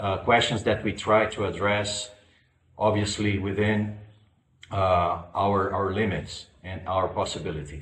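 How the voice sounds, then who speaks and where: Someone with a non-native accent speaks at a fairly slow pace with fairly even intonation, in audible room echo. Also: man, fairly low pitch for a man. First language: not English. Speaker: spiritual school lecturer. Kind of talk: public lecture. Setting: online conference. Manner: halting, many fillers.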